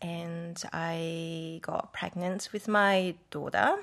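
The speaker is a woman with a Japanese accent. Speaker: raw food cafe owner. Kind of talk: casual interview. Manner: halting.

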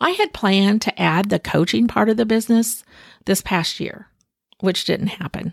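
A woman speaks at a moderate pace in a medium pitch with ordinary pitch variation, her somewhat breathy voice captured in a very clean recording with a silent background and a dry, close sound with no echo. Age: 60s. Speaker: podcast host, mental health professional. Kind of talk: solo podcast monologue. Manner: casual, reflective.

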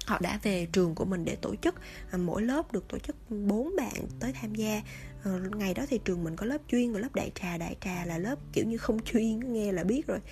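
A woman speaking at a moderate pace with music in the background. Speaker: podcast host. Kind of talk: storytelling monologue. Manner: casual, many fillers.

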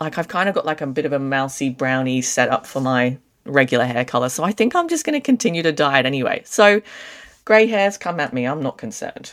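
A woman with an Australian accent speaks at a very fast pace. Her very deep, low voice swings very widely in pitch. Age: 30s. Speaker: podcast co-host. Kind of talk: casual chat.

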